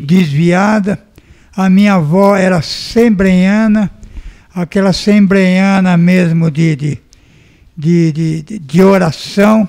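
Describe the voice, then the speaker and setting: Speaking at a very slow pace with long, frequent pauses, a man uses a high pitch and fairly even intonation. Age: 60s. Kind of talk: testimony.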